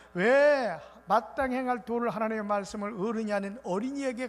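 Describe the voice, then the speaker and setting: Here a man speaks with a high voice at a fairly quick pace. His pitch varies in an ordinary way. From South Korea, Muan (South Jeolla). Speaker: revival preacher. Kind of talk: sermon. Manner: fast.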